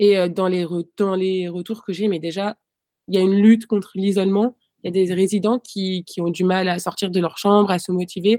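A woman of medium pitch speaks at a moderate pace. Her intonation is monotone and flat. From Paris. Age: 20s. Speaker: fencer. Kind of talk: interview. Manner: hesitant.

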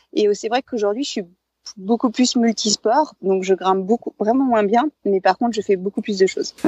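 Heard here is a plain, everyday voice at a moderate pace with ordinary pitch variation. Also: woman, fairly high pitch for a woman. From France, Savoie (Alps). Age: 40s. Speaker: former climbing world champion, mountaineer. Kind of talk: interview.

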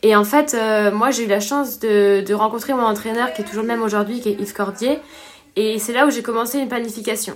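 Speaking at a fairly quick pace, a woman uses an ordinary speaking voice, fairly high in pitch, with fairly even intonation. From La Réunion. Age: 20s. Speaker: professional triathlete. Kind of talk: interview.

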